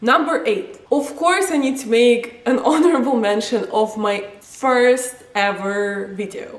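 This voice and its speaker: With noticeable background noise behind her, a high-pitched woman talks at a fairly slow pace with hardly any pauses and very wide pitch swings. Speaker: wrestling vlogger. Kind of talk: casual vlog countdown. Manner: animated.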